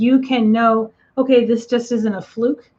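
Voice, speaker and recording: Her voice fairly high, a woman speaks at a fairly slow pace with a monotone, flat intonation. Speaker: psychic medium. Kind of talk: live stream reading and Q&A. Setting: live online stream. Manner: casual, with many fillers.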